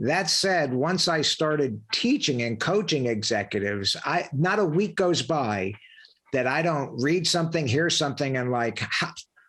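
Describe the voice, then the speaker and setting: In a normal speaking voice, a man with a fairly high pitch talks at a moderate pace, his intonation lively and his loudness very even. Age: 60s. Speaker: podcast host, leadership coach, former Marine officer. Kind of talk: interview conversation.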